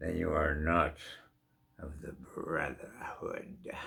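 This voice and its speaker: Using a put-on character voice, a man speaks very slowly at a very deep, low pitch. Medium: read story. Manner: proud, dismissive.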